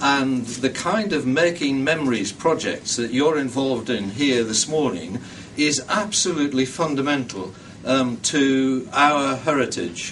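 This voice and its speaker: A man speaks with a northeast English accent and lively intonation. Background noise is noticeable. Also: medium pitch for a man, fairly slow pace. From northeast England. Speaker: heritage funding committee member. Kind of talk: public speech. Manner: hesitant with many ums.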